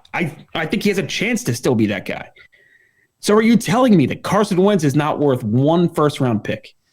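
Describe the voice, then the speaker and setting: Animated and showing vocal fry, a man speaks at a moderate pace with a fairly high pitch and very wide pitch swings. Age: 30s. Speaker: sports podcast co-host. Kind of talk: casual chat. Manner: stuttering, repeats words; animated, argumentative.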